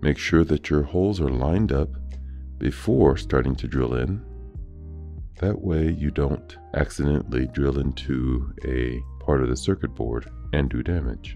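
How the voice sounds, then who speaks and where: Over music in the background, a man talks in a very deep, low pitch with ordinary pitch variation. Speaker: Bitcoin mining technician presenter. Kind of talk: technical tutorial narration.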